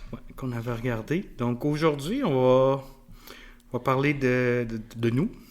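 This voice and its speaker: A man talks very slowly, his medium-pitched voice keeping a fairly even intonation. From Quebec City. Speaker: podcast co-host, youth soccer coach. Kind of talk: casual chat. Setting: studio with mic and camera. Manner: halting, frequent repetitions.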